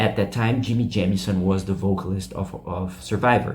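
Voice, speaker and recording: Over noticeable background noise, a man with a non-native accent speaks at a moderate pace in a very deep, low pitch with ordinary pitch variation. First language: not English. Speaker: YouTube rock music channel host. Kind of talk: casual video commentary. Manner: halting, many fillers.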